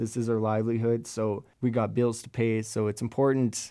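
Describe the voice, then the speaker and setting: With a Canadian accent, a man talks at a moderate pace and medium pitch. His tone is dark and mellow against a quiet background. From Alberta, Canada. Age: 20s. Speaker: freelance drummer. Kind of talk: casual interview. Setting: studio.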